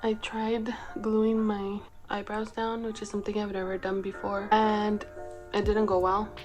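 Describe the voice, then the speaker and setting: With music in the background, a woman speaks fairly slowly at a medium pitch in a monotone, flat intonation. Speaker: makeup hobbyist. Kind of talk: casual makeup tutorial talk to camera. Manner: monotone, low-key.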